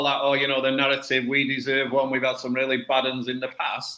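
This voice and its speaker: A man with a Mancunian accent, fairly high in pitch, at a very fast pace. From northern England, Salford. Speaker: football coach and podcast panelist. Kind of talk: casual chat.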